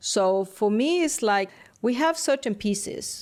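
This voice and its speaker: Someone with a non-native accent speaks with lively intonation on a very clean recording with a silent background. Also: woman. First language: not English. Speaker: interior designer. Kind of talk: casual chat. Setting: studio.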